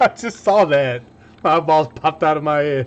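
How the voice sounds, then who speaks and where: Ordinary pitch variation marks a man's speech at a moderate speed. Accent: slight Southern US. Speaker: DIY electronics YouTuber. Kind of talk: casual livestream chat while building. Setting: workbench livestream. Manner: casual, chatty.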